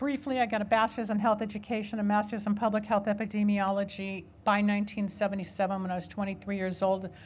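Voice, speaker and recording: A woman speaks at a very fast pace in a medium-pitched, somewhat breathy voice with fairly even intonation. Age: 70s. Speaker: keynote speaker. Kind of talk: keynote speech. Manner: halting, frequent repetitions.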